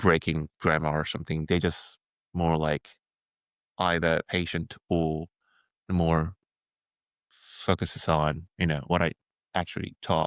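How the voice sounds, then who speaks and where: A man with a Korean accent speaks at a fairly slow pace in a very deep, low voice, his flat, monotone delivery broken by long, frequent pauses, and the recording is very clean with a silent background and a dry, close sound with no echo. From South Korea. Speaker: filmmaker. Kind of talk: casual chat. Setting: podcast interview. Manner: halting, many fillers.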